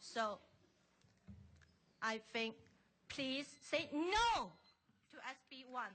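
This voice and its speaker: Speaking with a Chinese accent, a woman uses a high pitch and a bright, sharp tone, her lively intonation and big swings in loudness set against a very slow pace with long, frequent pauses. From China. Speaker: member of the public testifying at a hearing. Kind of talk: public testimony. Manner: halting.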